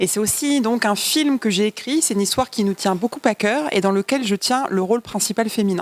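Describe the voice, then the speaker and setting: Fairly high woman's voice, fairly quick with hardly any pauses and very even loudness, noticeable background noise and a dry, close sound with no echo. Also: ordinary pitch variation. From Paris suburbs, France. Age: 20s. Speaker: film director and producer. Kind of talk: interview.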